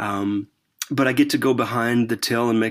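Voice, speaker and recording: A man's normal speaking voice at medium pitch, with fairly even intonation and a moderate pace, in a very clean recording against a silent background. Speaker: church consultant. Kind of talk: casual interview conversation.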